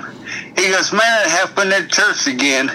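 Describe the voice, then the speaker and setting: A man talks at a high pitch with ordinary pitch variation. Noticeable background noise runs behind him. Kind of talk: telling a joke.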